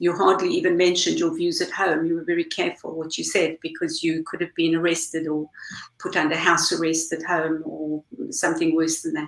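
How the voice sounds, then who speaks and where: At a fairly quick pace, a woman speaks with a South African accent. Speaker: campaign group leader. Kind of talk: panel discussion.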